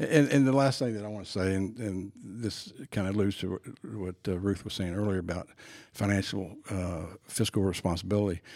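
Fairly quick in pace, a man speaks in an unremarkable speaking voice with ordinary pitch variation. The recording is very clean and the background silent. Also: fairly low pitch for a man. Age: 60s. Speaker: sports performance trainer. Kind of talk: casual chat. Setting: studio.

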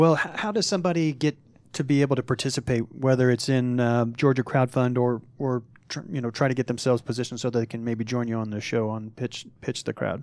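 At a very fast pace, a man speaks with medium pitch and ordinary pitch variation. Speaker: radio host. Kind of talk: radio interview. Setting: studio.

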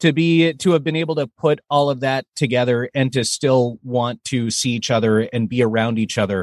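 In a very clean recording with a silent background and a dry, close sound with no echo, a man speaks at a moderate pace and medium pitch with ordinary pitch variation. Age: 30s. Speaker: voiceover actor. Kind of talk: interview. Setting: studio.

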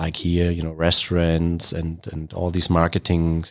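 The recording is very clean, with a silent background. A man talks in a German accent. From Germany, Berlin. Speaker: brewery CEO. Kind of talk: interview. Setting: studio.

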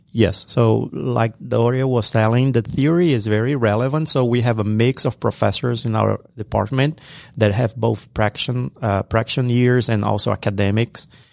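A man with an ordinary speaking voice at medium pitch, ordinary pitch variation and a moderate pace, hardly any pauses, recorded with a dry, close sound and no echo. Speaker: professor and program co-director. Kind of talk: radio interview. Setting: studio.

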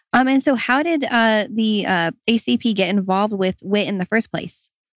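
A woman has a plain, everyday voice at medium pitch, with lively intonation. She talks at a moderate pace with a dry, close sound with no echo. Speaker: radio host. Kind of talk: radio interview. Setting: radio studio.

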